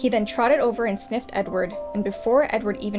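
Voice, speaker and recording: A woman with a fairly high pitch at a fairly quick pace, music in the background. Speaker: storyteller reading aloud. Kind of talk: children's book read aloud.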